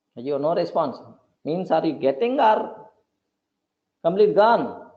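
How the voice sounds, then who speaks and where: Audible room echo surrounds a man speaking fairly slowly at a high pitch with very wide pitch swings. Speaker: programming teacher. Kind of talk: live online class lecture.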